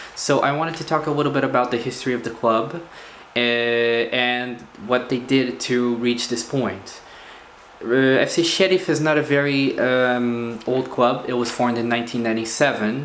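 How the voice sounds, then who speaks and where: Over noticeable background noise and audible room echo, a man with a Portuguese accent speaks at a moderate pace in a medium pitch with fairly even intonation. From Portugal. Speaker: football video blogger. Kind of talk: casual commentary monologue. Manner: hesitant, many fillers.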